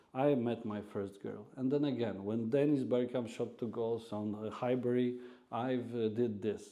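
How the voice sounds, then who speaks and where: The voice carries a dark, mellow tone and a Polish accent, with fairly even intonation at a moderate pace. Audible room echo surrounds it. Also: man, medium pitch for a man. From Poland, Warsaw. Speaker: radio host and restaurant owner. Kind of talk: casual interview chat. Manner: halting, many fillers.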